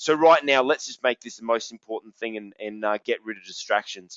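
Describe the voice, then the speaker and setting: A man speaks with an Australian accent at a fairly quick pace. His energetic voice sits at a medium pitch. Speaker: business coach. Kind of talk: webinar presentation. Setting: online webinar, wireless headset, standing. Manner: loud.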